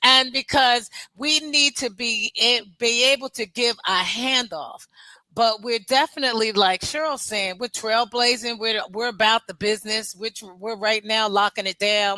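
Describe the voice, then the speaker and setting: Using an ordinary speaking voice, a woman with a fairly high pitch speaks at a fairly slow pace with ordinary pitch variation, the sound dry and close with no echo. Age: 60s. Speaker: military veteran. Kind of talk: panel interview.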